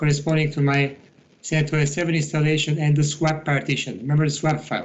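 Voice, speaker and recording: A man's fairly high, somewhat breathy voice. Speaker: IT instructor. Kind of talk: tutorial.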